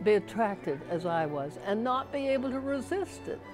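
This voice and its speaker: Music in the background behind very wide pitch swings, moderate pace throughout. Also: woman. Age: 80s+. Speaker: artist and writer, college graduate. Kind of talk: interview answer.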